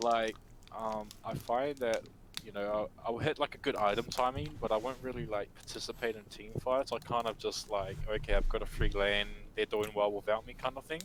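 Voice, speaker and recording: A man's voice at a moderate pace, with ordinary pitch variation and big swings in loudness. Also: medium pitch for a man. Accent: New Zealand. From New Zealand. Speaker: gamer being coached. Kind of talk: casual chat. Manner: hesitant, many fillers.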